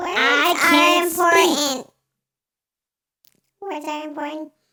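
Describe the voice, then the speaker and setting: Someone puts on a squeaky character voice with high pitch. The delivery is very slow. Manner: goofy.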